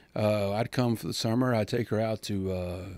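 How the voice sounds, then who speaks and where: A man with a Texan accent, dry sound with no echo. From Texas, Comanche County; Texas. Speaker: banker; podcast guest. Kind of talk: casual chat; interview answer. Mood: calm, warm. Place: studio. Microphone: studio mic.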